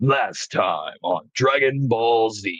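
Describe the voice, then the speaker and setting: A man uses a put-on character voice at a medium pitch. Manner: dramatic.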